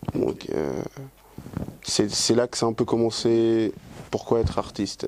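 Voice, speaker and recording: Here a man talks with a Spanish accent. His pace is fairly slow. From Dominican Republic, grew up in Switzerland. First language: Spanish (speaking French). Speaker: singer. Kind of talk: interview. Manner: hesitant, many fillers and repetitions.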